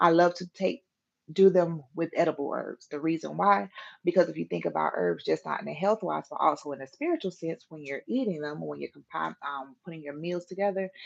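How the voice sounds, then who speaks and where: The sound is dry and close with no echo. A woman speaks at a fairly quick pace with big swings in loudness. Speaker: herbalist. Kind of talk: interactive class. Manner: fast; casual, hesitant with fillers.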